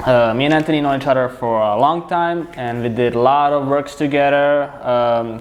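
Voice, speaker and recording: A man with a fairly high pitch talks at a moderate pace, with hardly any pauses. His intonation is fairly even, and there is noticeable background noise. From Serbia. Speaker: filmmaker. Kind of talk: casual chat.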